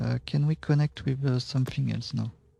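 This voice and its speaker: Speaking with a French accent, a man keeps a moderate pace. The sound is dry and close, with no echo. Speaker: game tutorial streamer. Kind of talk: tutorial. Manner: halting, many fillers.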